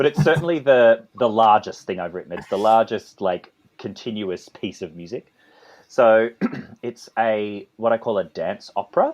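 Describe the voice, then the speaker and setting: In an Australian accent, a man speaks at a moderate pace with a medium pitch and ordinary pitch variation. The sound is dry and close, with no echo. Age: 30s. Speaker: composer and conductor. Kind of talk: interview. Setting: podcast interview. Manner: halting, with many repetitions.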